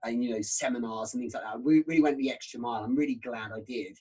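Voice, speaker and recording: A man with a British accent and ordinary pitch variation. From UK. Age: 30s. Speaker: sales trainer. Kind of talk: casual chat.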